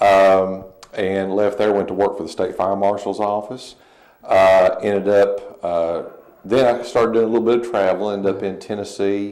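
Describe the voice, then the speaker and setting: A man speaks at a fairly low pitch in a monotone, flat intonation, with audible room echo. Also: moderate pace. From Eastern Kentucky, US. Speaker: fire chief. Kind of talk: TV interview. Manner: halting, many fillers.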